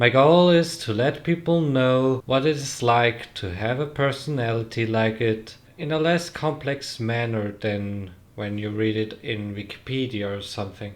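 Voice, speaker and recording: Speaking at a fairly slow pace, a man with a non-native accent uses a medium pitch and ordinary pitch variation. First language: not English. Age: young. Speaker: trainee. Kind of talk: casual talk to camera.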